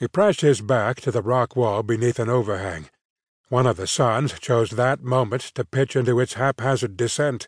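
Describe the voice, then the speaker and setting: A man with a plain, everyday voice at a medium pitch, ordinary pitch variation and a moderate pace, against a quiet background. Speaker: audiobook narrator. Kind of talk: dramatic audiobook narration of a gritty sword-and-sorcery gunfight. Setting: studio. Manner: tense, suspenseful pacing through action beats; wry, dry delivery of grim humor.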